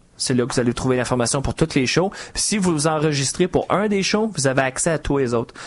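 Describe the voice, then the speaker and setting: A man with a strong Quebec accent, a fairly high pitch, lively intonation and a very fast pace, over noticeable background noise. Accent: Quebec French, still strong. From Quebec, Montreal. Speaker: software architect and trainer. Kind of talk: podcast interview.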